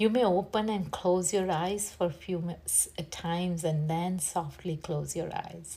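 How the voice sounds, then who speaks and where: Here a woman talks fairly slowly with fairly even intonation. She has a plain, everyday voice, fairly low in pitch. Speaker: meditation guide. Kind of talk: guided meditation. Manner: soft, slow and soothing, gently instructing; warm and encouraging, with pauses between cues.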